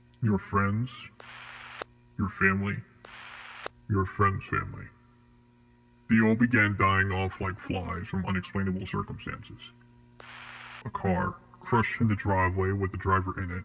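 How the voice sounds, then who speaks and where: Using a put-on character voice with a fairly low pitch, a man talks at a moderate pace with long, frequent pauses. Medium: audio drama. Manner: calm, formal, detached.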